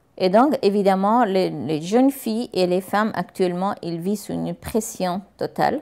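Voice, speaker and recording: A dark, mellow voice moves at a fairly slow pace over a quiet background. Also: woman. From Afghanistan. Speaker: teacher. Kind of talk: testimony. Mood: sad, earnest. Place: home room. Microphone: lapel.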